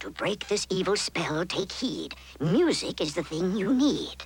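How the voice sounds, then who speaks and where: Doing a cartoonish character voice, a man speaks at a high pitch and moderate pace with lively intonation over light background noise. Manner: calm, authoritative.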